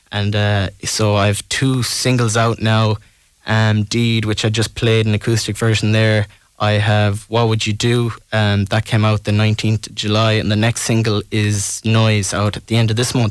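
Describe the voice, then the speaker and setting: With a west of Ireland accent, a man speaks at a moderate pace in a fairly low, flat monotone. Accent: west of Ireland Irish. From Ireland, Tuam, County Galway. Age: 20s. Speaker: singer-songwriter. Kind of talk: radio interview.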